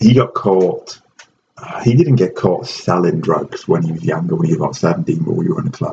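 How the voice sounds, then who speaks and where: A man is speaking. He has a Welsh accent. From Wales. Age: 30s. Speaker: professor and jiu-jitsu breathing coach. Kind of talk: casual chat.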